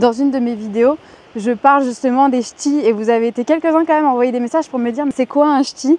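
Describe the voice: This voice has a slight northern French accent and a slightly mellow tone. It moves at a fast pace. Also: woman, high pitch for a woman, ordinary pitch variation. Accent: light northern French.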